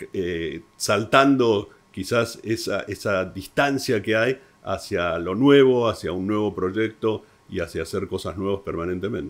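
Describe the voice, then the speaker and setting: A man's normal speaking voice, fairly low and fairly slow, with ordinary pitch variation. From Argentina. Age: 60s. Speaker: entrepreneur, real estate professional. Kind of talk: interview.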